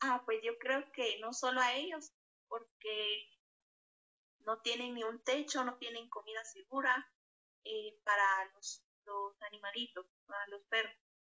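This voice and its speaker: The speaking moves at a fairly slow pace with long, frequent pauses and ordinary pitch variation. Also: woman, fairly high pitch for a woman. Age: 20s. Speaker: interviewee. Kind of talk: interview. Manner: hesitant, many fillers.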